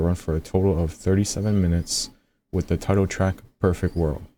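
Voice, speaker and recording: Soft-spoken, with a very deep, low pitch and a dark, mellow tone, a man talks at a moderate pace with fairly even intonation in a very clean recording with a silent background. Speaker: music reaction youtuber. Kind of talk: album review commentary. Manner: casual.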